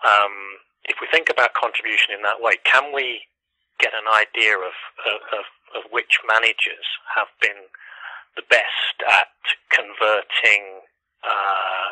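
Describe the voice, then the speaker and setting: A man with an East Midlands accent speaks at a fairly low pitch in a bright, sharp tone. His pace is fairly slow, with long, frequent pauses. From Leicester, England. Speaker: economics professor. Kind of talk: interview answer. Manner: hesitant, uses filler words.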